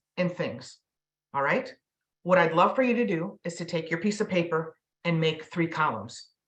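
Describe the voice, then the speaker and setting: A woman's fairly low, somewhat breathy voice at a fairly slow pace with lively intonation. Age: 50s. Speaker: mental health professional and workshop presenter. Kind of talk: interactive online presentation. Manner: frequent filler ums.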